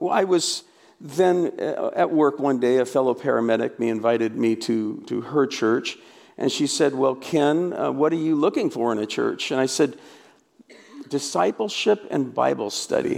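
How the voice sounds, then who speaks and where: With a West Coast accent, a man talks at a fairly slow pace. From US Pacific Northwest, Portland, Oregon. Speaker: pastor and author. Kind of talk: conference talk.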